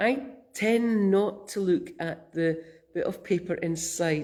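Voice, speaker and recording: A woman speaks in a Scottish accent. Her pitch varies in an ordinary way. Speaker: minister. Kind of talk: sermon. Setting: church. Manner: gentle, reflective.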